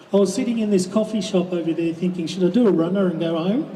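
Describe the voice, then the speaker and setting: A man at a fairly quick pace with a high pitch and ordinary pitch variation, plus audible room echo and noticeable background noise. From Western Australia (Kalgoorlie, Goldfields). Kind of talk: rally speech. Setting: outdoors at a public rally.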